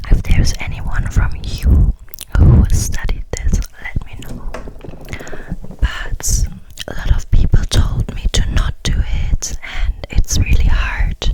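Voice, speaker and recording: Whispering at a very slow pace, a woman is heard against noticeable background noise. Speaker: ASMR creator. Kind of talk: casual personal chat. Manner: whispered.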